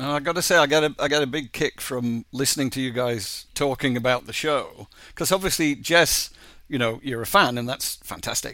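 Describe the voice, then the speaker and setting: A man with an English accent speaks at a moderate pace and a fairly high pitch, his tone bright and sharp, with ordinary pitch variation on a very clean recording with a silent background. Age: 50s. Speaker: animation co-creator. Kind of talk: interview.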